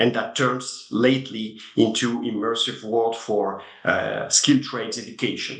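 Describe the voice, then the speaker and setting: In a French accent, a man speaks in a monotone, flat intonation with hardly any pauses, and audible room echo surrounds his voice. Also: medium pitch for a man. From France. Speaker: tech company CEO. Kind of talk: interview. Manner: halting.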